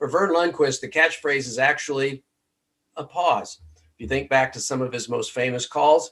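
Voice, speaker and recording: This man has a plain, everyday voice with a fairly high pitch and fairly even intonation. He talks at a moderate pace with big swings in loudness. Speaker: podcast host. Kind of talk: podcast intro.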